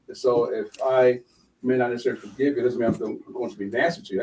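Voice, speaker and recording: Talking at a very fast pace, a man shows big swings in loudness. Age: 60s. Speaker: radio co-host. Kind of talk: radio talk show discussion. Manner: halting, with many fillers.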